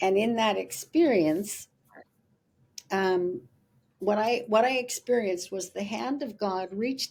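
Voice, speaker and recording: Her voice has a dark, mellow tone at a medium pitch, and the intonation is lively. The woman moves at a fairly slow pace. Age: 70s. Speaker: spiritual teacher and author. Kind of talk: interview. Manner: halting.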